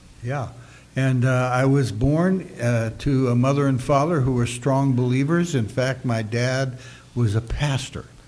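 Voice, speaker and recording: A man with a medium-pitched voice talks at a very slow pace, his intonation fairly even and his loudness very even, with audible room echo. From US West, Sacramento, California. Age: 70s. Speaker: pastor. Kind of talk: interview testimony via interpreter. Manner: short phrases paused for interpretation.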